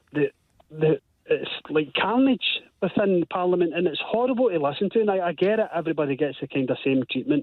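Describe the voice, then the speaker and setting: Someone with a strong Glasgow accent talks at a fairly quick pace. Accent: strong Scottish (Glasgow). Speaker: caller. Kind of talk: radio phone-in call.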